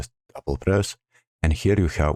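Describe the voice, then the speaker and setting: A man with a non-native accent, a dark, mellow tone and vocal fry, ordinary pitch variation, and a dry, close sound with no echo. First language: not English. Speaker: gaming tutorial creator. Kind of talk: screen-recorded game tutorial narration.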